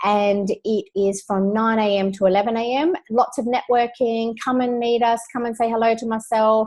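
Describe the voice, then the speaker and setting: In an Australian accent, a woman speaks at a fairly high pitch with a dark, mellow tone and fairly even intonation. She keeps a moderate pace with hardly any pauses. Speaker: business coach, online community host. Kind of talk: webinar presentation. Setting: live video webinar. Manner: casual, many filler words.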